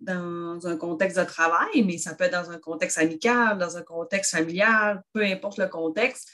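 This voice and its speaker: At a fairly slow pace, a woman speaks in a Quebec accent at medium pitch. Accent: noticeable Quebec French. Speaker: grief counsellor and therapist. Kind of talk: casual chat.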